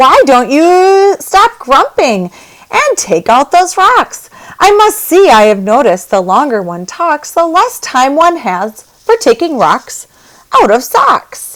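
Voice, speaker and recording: Doing a put-on character voice, a woman speaks high in pitch at a fairly slow pace, with very wide pitch swings. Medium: read story. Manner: self-assured.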